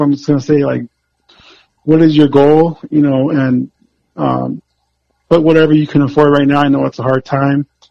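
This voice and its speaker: A man's plain, everyday voice with an American accent, fairly high in pitch, with fairly even intonation. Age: 40s. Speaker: health coach. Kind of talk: casual chat.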